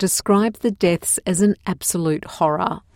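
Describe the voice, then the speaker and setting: A woman's medium-pitched voice at a fairly slow pace with fairly even intonation, dry and close with no echo, on a very clean recording with a silent background. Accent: Australian. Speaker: news presenter. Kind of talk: formal newsreading. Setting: studio. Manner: formal; measured, even-paced and neutral, clearly enunciated for learners.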